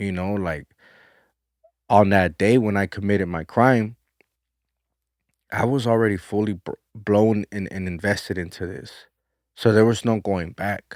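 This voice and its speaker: A man with a fairly low pitch and an American accent, fairly even intonation, a moderate pace with long, frequent pauses, and a dry, close sound with no echo on a very clean recording with a silent background. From South Central Los Angeles. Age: 30s. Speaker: former prisoner. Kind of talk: interview testimony.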